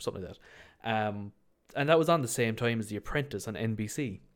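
Keeping a moderate pace, a man speaks with a fairly low pitch. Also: very clean recording, silent background. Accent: Irish. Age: 20s. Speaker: podcast host. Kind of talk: casual solo chat. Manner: casual, filler-heavy.

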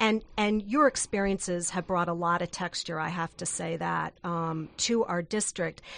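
Against a quiet background, a woman with a plain, everyday voice speaks at a moderate pace with hardly any pauses, her fairly low pitch showing ordinary variation. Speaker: radio co-host. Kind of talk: radio interview. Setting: studio. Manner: playful.

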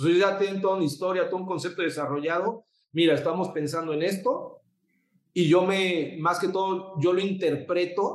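A man in a Mexican accent at a moderate pace. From Mexico City. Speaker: photographer and designer. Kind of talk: interview. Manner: halting, repeats words.

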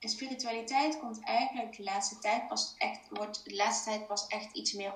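A medium-pitched woman's voice at a moderate pace, with fairly even intonation and audible room echo. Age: 30s. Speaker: business coach. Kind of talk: interview. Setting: video call. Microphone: echo in room.

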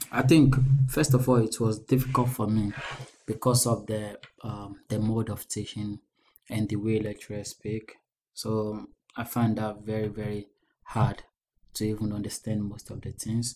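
A man's fairly low, somewhat breathy voice has a dark, mellow tone and monotone, flat intonation. He keeps a moderate pace with long, frequent pauses. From Ghana. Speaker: student union president. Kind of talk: casual interview.

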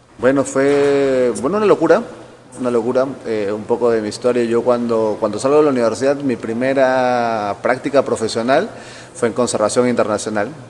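Against noticeable background noise, a man speaks at a medium pitch and moderate pace, with ordinary pitch variation. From Peru, Callao. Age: 40s. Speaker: forest engineer, ecosystem restoration specialist. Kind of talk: interview. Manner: halting, many repetitions.

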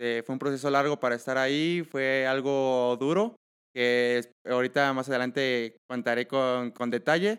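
This man has a normal speaking voice, medium in pitch, delivered at a fairly slow pace with fairly even intonation. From Mexico, Michoacán. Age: 20s. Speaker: triathlete. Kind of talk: interview.

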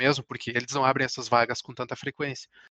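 A man with a fairly high pitch, dry and close with no echo, against a quiet background. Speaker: chemical engineer. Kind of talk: interview. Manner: halting, many repetitions.

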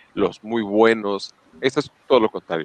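A man with a Mexican accent talks at a moderate pace in a fairly low pitch. The sound is dry and close, with no echo. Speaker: podcast co-host. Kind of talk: casual chat.

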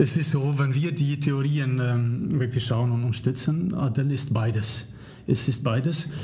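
A man with a non-native accent, somewhat breathy and dark, mellow in tone, at medium pitch and a fairly slow pace, with fairly even intonation, very even loudness and audible room echo. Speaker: leadership professor. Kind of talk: interview. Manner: halting, many fillers.

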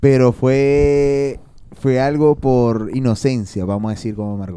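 A man with a medium pitch speaks in a dark, mellow tone. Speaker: podcast co-host. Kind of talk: casual chat.

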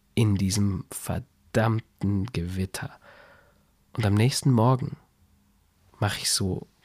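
A soft-spoken, somewhat breathy man talks at a very slow pace. The recording is very clean, with a silent background. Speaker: podcaster. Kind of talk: spontaneous bedtime story monologue. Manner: calm, soft.

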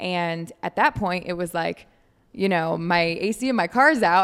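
A woman speaks with an American accent in a plain, everyday voice. Her pitch sits in the medium range with ordinary variation. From Michigan. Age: 20s. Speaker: fitness coach and influencer. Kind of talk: casual chat. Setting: coffee shop.

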